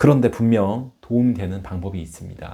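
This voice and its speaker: Fairly low-pitched male voice with a dark, mellow tone at a fairly slow pace. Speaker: stuttering coach and former stutterer. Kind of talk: informal advice talk to camera. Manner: stutter.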